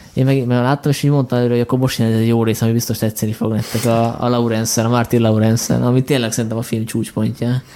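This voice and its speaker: A man at a very fast pace, monotone and flat in intonation, with noticeable background noise. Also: medium pitch for a man. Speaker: podcast host. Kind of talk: casual chat.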